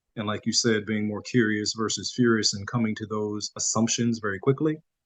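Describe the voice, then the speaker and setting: This man mumbles at a fairly quick pace, his fairly low voice keeping a fairly even intonation. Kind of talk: podcast interview. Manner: mumbling, low projection.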